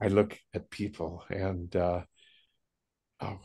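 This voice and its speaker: The speaker has a western US accent. The background is quiet. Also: man. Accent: western American. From US West, Jackson Hole, Wyoming. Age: 80s+. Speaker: spiritual speaker. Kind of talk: casual chat.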